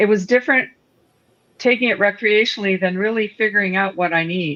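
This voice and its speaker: A woman speaks at a moderate pace in a Canadian accent. Her pitch is medium, with ordinary variation. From Northern Ontario, Canada. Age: 60s. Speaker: cannabis product entrepreneur. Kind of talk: casual chat.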